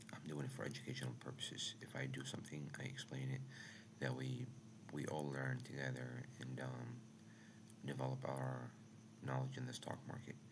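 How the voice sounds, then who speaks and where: Speech moves at a moderate pace, broken by long, frequent pauses. Background noise is noticeable throughout. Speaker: day trader streaming live trading sessions. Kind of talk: live stream talk. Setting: at home.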